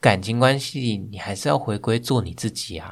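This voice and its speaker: On a very clean recording with a silent background, a man talks at a fairly quick pace and medium pitch. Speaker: guest, hiking enthusiast and office worker. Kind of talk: personal testimony in interview.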